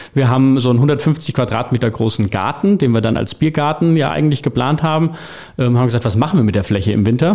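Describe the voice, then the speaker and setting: Very fast and with lively intonation, a man speaks in a dark, mellow tone. His loudness stays very even. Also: medium pitch for a man. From Hesse, Vogelsberg. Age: 30s. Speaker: bar owner and restaurateur. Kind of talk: interview.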